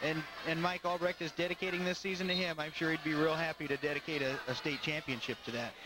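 Animated and very fast, a man with a fairly high voice speaks over noticeable background noise. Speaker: color commentator. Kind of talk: live sports commentary. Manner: animated, quick calls of takedowns and reversals.

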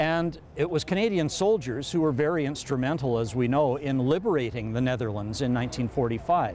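A man with lively intonation, dry sound with no echo and light background noise. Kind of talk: interview answer. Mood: warm, proud, upbeat. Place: street. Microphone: lapel.

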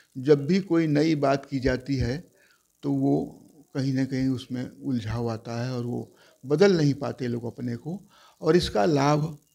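A fairly high-pitched man with a dark, mellow tone, fairly slow pace, ordinary pitch variation and long, frequent pauses, against a quiet background. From Uttar Pradesh, Mirzapur; Uttar Pradesh. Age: 70s. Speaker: journalist and writer; journalist. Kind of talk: interview. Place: home room. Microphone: lapel.

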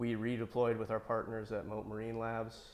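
A man speaks in a monotone, flat intonation at a moderate pace. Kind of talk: interview answer. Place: workshop. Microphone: lapel.

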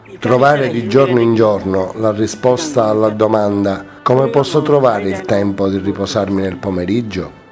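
With music in the background, a man speaks at a moderate pace in a fairly low pitch with ordinary pitch variation. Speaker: voice-over actor. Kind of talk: dubbed first-person voice-over of an interviewee. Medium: dub.

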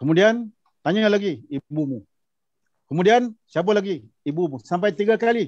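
Speaking at a moderate pace, a man uses a high pitch and lively intonation. The sound is dry with no echo, over a quiet background. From Malaysia, Negeri Sembilan; Malaysia. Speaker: former imam and judge; speaker, panelist. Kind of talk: panel discussion. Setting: video call. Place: office. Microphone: video call.

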